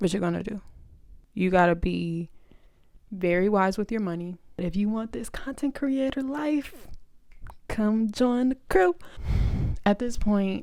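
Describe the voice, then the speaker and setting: A woman speaks at a fairly slow pace, her tone animated and her intonation lively. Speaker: content creator vlogger. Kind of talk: casual vlog talk to camera. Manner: loud.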